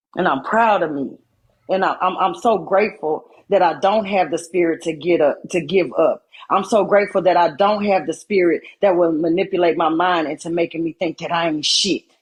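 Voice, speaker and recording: A woman with a fairly low voice talks at a moderate pace, her pitch varying in an ordinary way. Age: 40s. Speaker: livestreamer. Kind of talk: emotional live-stream monologue. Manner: animated.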